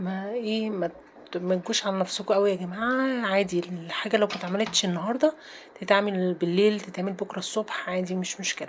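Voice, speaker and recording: Over noticeable background noise, a woman with an Egyptian accent speaks at a moderate pace with hardly any pauses, a medium pitch, and fairly even intonation. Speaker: home routine vlogger. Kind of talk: casual vlog narration. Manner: chatty, informal.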